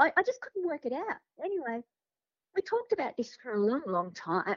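Speaking high in pitch with very wide pitch swings, a woman uses an Australian accent. Her pace is moderate, broken by long, frequent pauses. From Sydney, Australia. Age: 50s. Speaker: podcast guest sharing paranormal experiences. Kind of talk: casual interview storytelling.

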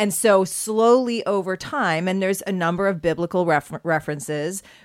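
A woman with a Canadian accent and a normal speaking voice talks at a fairly low pitch and a moderate pace. Her pitch variation is ordinary, and the recording is very clean, with a silent background. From Canada, prairies. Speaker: podcast co-host. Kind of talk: casual chat.

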